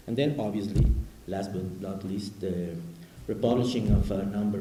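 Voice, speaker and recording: A man with a Spanish accent and a very deep, low pitch at a moderate pace, plus audible room echo and noticeable background noise. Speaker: academic discussant. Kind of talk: academic commentary. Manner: halting.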